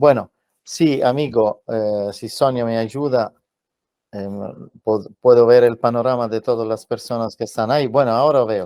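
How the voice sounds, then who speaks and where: A man with a medium pitch and a dark, mellow tone speaks at a fairly slow pace with fairly even intonation. The sound is dry and close with no echo, over a quiet background. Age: 60s. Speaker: journalist and UFO contactee. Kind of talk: interview answers. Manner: halting.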